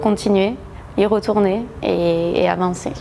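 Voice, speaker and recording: The pace is very slow, with a southwestern French accent and fairly even intonation. Noticeable background noise runs underneath. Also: woman. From southwest France, Agen. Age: 30s. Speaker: gym member, lawyer. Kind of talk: testimonial interview. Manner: hesitant, many fillers.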